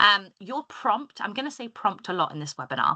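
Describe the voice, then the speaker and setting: A woman's medium-pitched voice, bright and sharp in tone, swings very widely in pitch. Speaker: software trainer. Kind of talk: webinar tutorial. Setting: video call. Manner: fast.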